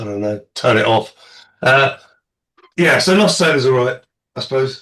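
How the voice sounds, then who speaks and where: With an English accent, a man speaks at a moderate pace in a fairly high pitch. His tone is bright and sharp. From England. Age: middle-aged. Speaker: podcast panelist. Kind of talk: casual chat. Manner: deadpan.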